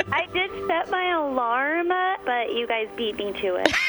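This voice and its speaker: Over noticeable background noise, a woman talks at a fairly slow pace. Her high voice makes very wide pitch swings. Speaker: radio show caller.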